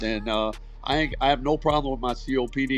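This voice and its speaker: Music plays in the background as a man talks at a very fast pace. His pitch sits in the medium range. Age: 60s. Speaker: former navy diver and cancer survivor. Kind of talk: casual chat. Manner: animated.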